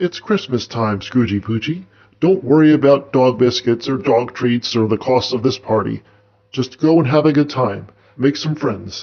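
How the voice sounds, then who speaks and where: The speaker is a man doing a put-on character voice. His pitch is medium and his pace moderate. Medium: read story. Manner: grave, portentous.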